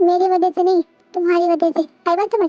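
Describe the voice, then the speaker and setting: In a put-on character voice, a woman speaks extremely high and squeaky at a very fast pace, with monotone, flat intonation, very even loudness, and a dry, close sound with no echo. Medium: voice reel. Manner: flustered, earnest.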